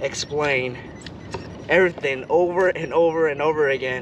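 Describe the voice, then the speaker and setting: Noticeable background noise sits under a man's dry, echo-free voice, which keeps a moderate pace and fairly even intonation. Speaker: fishing vlogger. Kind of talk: casual vlog tutorial. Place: boat.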